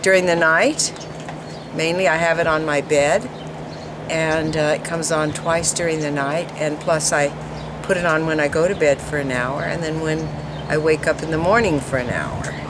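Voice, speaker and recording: A woman with a very deep, low pitch speaks at a moderate pace with fairly even intonation, amid audible room echo and noticeable background noise. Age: 70s. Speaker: product user giving testimonial. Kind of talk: testimony. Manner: casual, halting with fillers.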